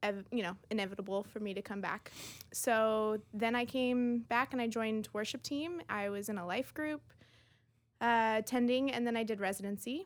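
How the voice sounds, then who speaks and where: A woman's plain, everyday voice, fairly high in pitch, with ordinary pitch variation at a moderate pace, on a very clean recording with a silent background. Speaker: church ministry director. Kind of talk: interview.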